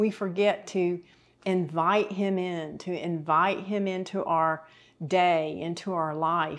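A woman's fairly low voice at a very slow pace, monotone and flat in intonation. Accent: Southern US. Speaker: TV Bible teacher. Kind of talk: sermon. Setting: kitchen set.

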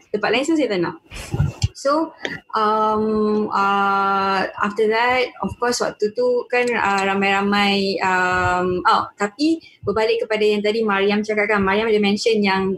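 A woman speaks at a fairly slow pace with a medium pitch. Her loudness stays very even over noticeable background noise. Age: 20s. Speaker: university student. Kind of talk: panel discussion.

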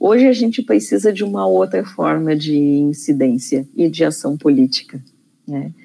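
Very deep and low, a woman's voice carries a dark, mellow tone, moving at a moderate pace through very wide pitch swings. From Rio Grande do Sul, Brazil (Taquari). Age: 50s. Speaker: psychologist and feminist activist. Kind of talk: interview conversation. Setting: studio. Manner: halting, many repetitions and fillers.

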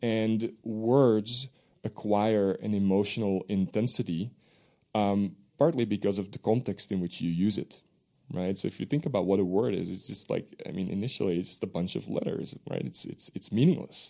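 In a very clean recording with a silent background, a man with a Dutch accent speaks at a moderate pace in a dark, mellow tone, his fairly low pitch carrying ordinary pitch variation. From Belgium. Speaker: professor. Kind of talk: interview.

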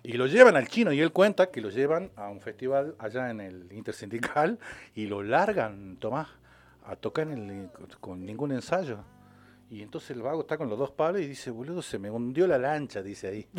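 A man's voice with very wide pitch swings and big swings in loudness. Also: medium pitch for a man, moderate pace. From Salta, northwestern Argentina. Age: 50s. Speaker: documentary filmmaker, former television worker. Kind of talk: casual radio interview.

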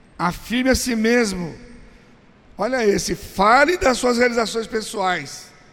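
A man speaks at a fairly slow pace in an extremely high pitch, his tone animated and his intonation lively, with long, frequent pauses and noticeable background noise. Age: 60s. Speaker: pastor. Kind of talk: teaching seminar. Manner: conversational, animated.

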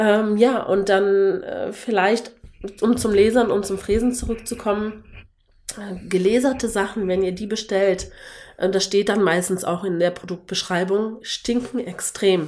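A woman with an unremarkable speaking voice keeps her intonation fairly even, talking fairly slowly at a medium pitch. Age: 30s. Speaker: wooden decor maker. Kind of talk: casual interview.

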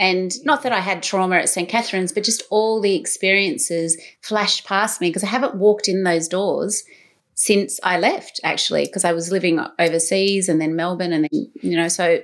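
A woman with an Australian accent talks fairly quickly with ordinary pitch variation. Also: medium pitch for a woman. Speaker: podcast and radio host. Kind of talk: interview conversation.

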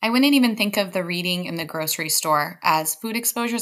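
Talking at a very fast pace with lively intonation, the voice comes through on a very clean recording against a silent background. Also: woman. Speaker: podcast host. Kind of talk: casual interview.

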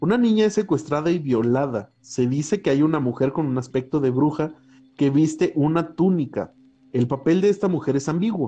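With music in the background, a fairly high-pitched man talks at a moderate pace with lively intonation and very even loudness. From Mexico, San Luis Potosí. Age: 20s. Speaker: podcast co-host. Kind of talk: casual chat. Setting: outdoors at home.

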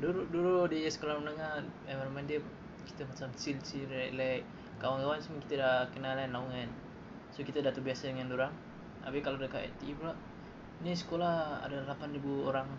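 A man speaks at a fairly high pitch and a fairly quick pace, in a monotone, flat intonation. Noticeable background noise and audible room echo surround him. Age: young. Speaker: student. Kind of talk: casual chat. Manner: halting.

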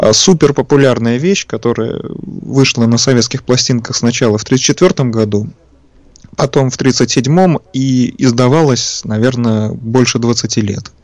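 At a fairly slow pace, a man with medium pitch and ordinary pitch variation talks in an ordinary speaking voice. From Leningrad / Saint Petersburg, Russia. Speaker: record collector and engineer. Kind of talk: guest talking about records on a radio show. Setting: radio broadcast, remote from studio.

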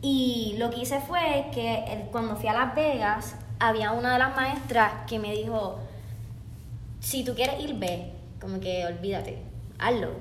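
A woman with a Puerto Rican accent speaks at a fairly slow pace amid noticeable background noise and audible room echo. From Puerto Rico (Bayamón). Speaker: dancer and dance teacher. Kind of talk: casual interview.

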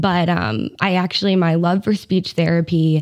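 She has a plain, everyday voice. The woman's pitch is fairly low, with ordinary pitch variation. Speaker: speech therapist. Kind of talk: casual interview.

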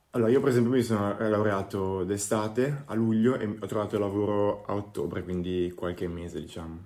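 A man with a dark, mellow tone and fairly low pitch talks at a fairly quick pace with hardly any pauses and ordinary pitch variation. The recording is very clean, with a silent background. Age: 20s. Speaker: product designer. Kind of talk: interview.

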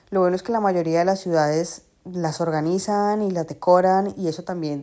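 Recorded very cleanly against a silent background, a woman speaks at a fairly slow pace in a dark, mellow tone, her pitch fairly low and her intonation fairly even. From Colombia, Cali. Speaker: podcast host. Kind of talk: casual monologue. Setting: at home on the sofa. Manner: chatty, talks nonstop.

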